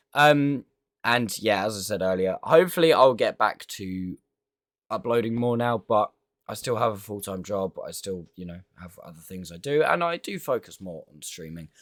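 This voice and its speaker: This man speaks with a British accent. The recording is very clean, with a silent background and a dry, close sound with no echo. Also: moderate pace. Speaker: gaming youtuber. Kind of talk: gameplay commentary outro. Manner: halting, many fillers.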